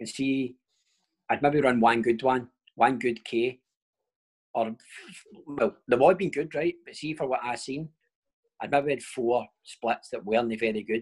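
A man with a Glaswegian accent speaks at a medium pitch and fairly slow pace, with ordinary pitch variation. His loudness swings widely, and long pauses come often. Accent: Glaswegian Scottish. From Scotland, Paisley/Glasgow area. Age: 30s. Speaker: professional footballer. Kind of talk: casual chat.

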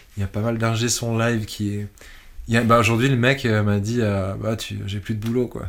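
Long, frequent pauses and a monotone, flat intonation. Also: man, medium pitch for a man, moderate pace. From Switzerland. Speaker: electronic musician. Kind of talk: interview. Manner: halting.

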